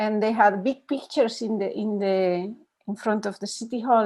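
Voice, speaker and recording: A woman with a Spanish accent at medium pitch, with fairly even intonation, a moderate pace, and a quiet background. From Spain. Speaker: meditation teacher. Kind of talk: dharma talk with Q&A. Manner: halting.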